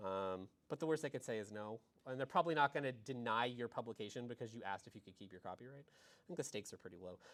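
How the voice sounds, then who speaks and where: Talking at a very fast pace, a man uses lively intonation and big swings in loudness. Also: medium pitch for a man. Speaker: academic librarian. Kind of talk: presentation to graduate students. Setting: library session, in person and online.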